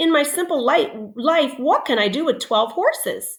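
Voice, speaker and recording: A put-on character voice, high in pitch and gentle in tone. It moves at a moderate pace. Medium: read story. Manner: modest, gentle.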